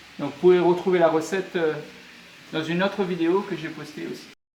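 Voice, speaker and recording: Man at a high pitch, moderate pace and fairly even intonation, amid noticeable background noise. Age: 40s. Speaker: cooking channel host. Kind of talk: cooking tutorial.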